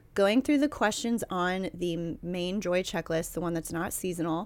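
A woman with a normal speaking voice, pitched in the medium range. Her intonation is lively and her pace moderate. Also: very clean recording, silent background. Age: 30s. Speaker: podcast co-host. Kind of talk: casual chat. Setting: home recording, in a bed.

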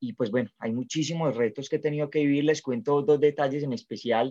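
A fairly high-pitched man with ordinary pitch variation. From Colombia, Medellín. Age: young. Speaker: network marketing entrepreneur. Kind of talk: interview.

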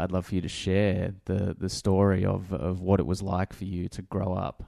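A man's very deep, low voice with a dark, mellow tone and an Australian accent, at a moderate pace over a quiet background. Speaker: podcast host. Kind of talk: casual interview.

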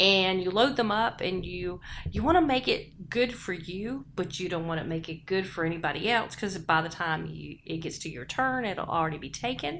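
A woman speaks in a plain, everyday voice at a medium pitch. Her intonation is lively, with hardly any pauses. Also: moderate pace. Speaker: podcast co-host. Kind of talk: casual chat.

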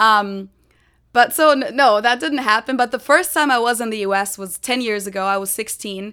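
A woman with a fairly high pitch and a bright, sharp tone speaks with ordinary pitch variation on a very clean recording with a silent background. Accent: German. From Germany (Munich, Bavaria). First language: German. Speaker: YouTuber. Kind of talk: casual interview.

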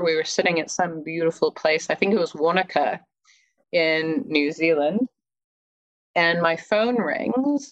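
Speaking at a fairly slow pace, a woman with a General American accent uses lively intonation in a fairly low voice. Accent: mild general American, Midwest-like. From California, US. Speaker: life coach and former project manager. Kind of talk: casual interview, storytelling. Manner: informal, hesitant with fillers.

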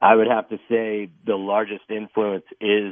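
A man talks in an ordinary speaking voice with an American accent. His pitch is fairly low and his pace fairly slow. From Texas. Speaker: newspaper reporter. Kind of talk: interview. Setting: phone call.

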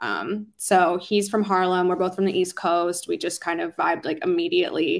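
A woman with an American accent and an ordinary speaking voice talks at a moderate pace in a medium pitch, on a very clean recording with a silent background. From Philadelphia, US. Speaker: R&B singer-songwriter. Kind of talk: interview.

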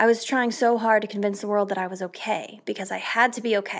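A woman with a fairly high pitch talks at a fairly quick pace and ordinary pitch variation, on a very clean recording with a silent background. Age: 20s. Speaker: podcast host and vlogger. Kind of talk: reading aloud; monologue.

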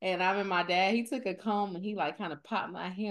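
A woman with a normal speaking voice at medium pitch, moderate pace and ordinary pitch variation, over a quiet background. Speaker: podcast host. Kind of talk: casual podcast conversation.

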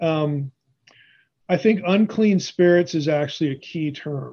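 Speaking with an American accent, a man has a high pitch and a dark, mellow tone. His pace is moderate and his pitch varies in an ordinary way. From Pennsylvania, US. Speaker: biblical scholar. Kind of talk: interview.

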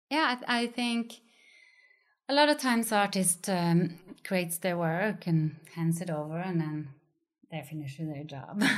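In a Norwegian accent, a woman speaks fairly slowly at a fairly low pitch with lively intonation and long, frequent pauses, on a very clean recording with a silent background. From Norway, countryside. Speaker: gallerist and curator. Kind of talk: interview.

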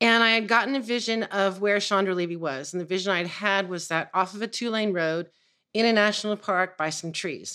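A woman with an American accent and a normal speaking voice, medium in pitch, with ordinary pitch variation and a fairly quick pace, on a very clean recording with a silent background. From US West Coast, San Francisco. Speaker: psychic and energy healer. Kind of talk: casual interview chat.

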